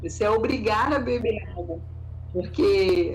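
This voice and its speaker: Noticeable background noise and audible room echo surround a woman speaking in a Rio de Janeiro accent. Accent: carioca (Rio). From Rio de Janeiro, Brazil. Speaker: naturopath. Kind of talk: interview, health advice.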